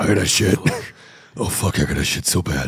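At a fairly quick pace, a man uses a put-on character voice with a very deep, low pitch. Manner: gravelly, urgent.

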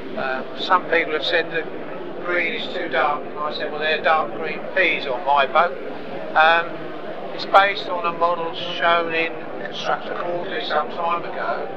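Through loud background noise, a man speaks at a fairly slow pace. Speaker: model builder and exhibitor. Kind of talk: interview answer. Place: hall. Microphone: lapel.

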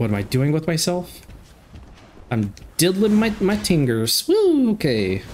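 Animated and playful, a man speaks at a fairly slow pace with a fairly high pitch that swings very widely. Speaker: gaming YouTuber. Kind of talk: casual gameplay commentary. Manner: animated, playful; chatty, casual, laughs often.

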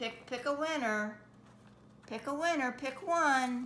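A woman speaks in a raised, projected voice at a very slow pace, with ordinary pitch variation. Light background noise can be heard. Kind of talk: casual talk to a pet. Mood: playful, coaxing. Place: kitchen. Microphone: phone near.

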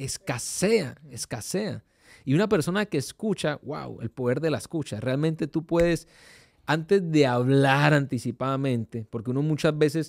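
Moderate pace and ordinary pitch variation. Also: man. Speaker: pastor. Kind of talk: devotional talk. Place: studio. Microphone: studio mic.

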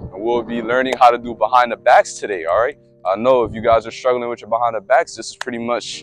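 A man talks at a fairly quick pace. The sound is dry with no echo. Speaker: basketball trainer. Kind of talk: tutorial. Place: street.

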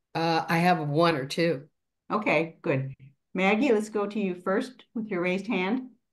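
A woman with medium pitch and lively intonation speaks at a fairly slow pace in a plain, everyday voice. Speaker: meeting moderator. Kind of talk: moderating Q&A. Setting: video call.

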